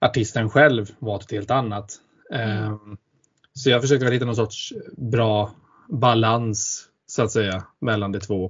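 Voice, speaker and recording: Somewhat breathy and of medium pitch, a man speaks at a fairly slow pace with fairly even intonation. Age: 20s. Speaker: podcast co-host. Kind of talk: casual chat.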